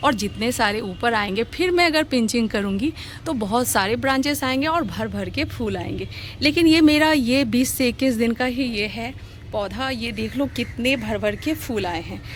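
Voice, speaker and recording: Amid noticeable background noise, a woman uses lively intonation at a fairly high pitch. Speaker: gardening vlogger. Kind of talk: casual tutorial vlog. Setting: outdoors on a rooftop terrace garden. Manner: conversational, chatty.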